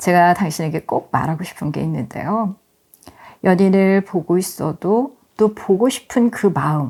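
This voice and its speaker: Moderately paced speech comes in a dark, mellow tone. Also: woman. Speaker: author reading her own essay audiobook. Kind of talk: audiobook essay reading with commentary, ASMR-style relaxing narration.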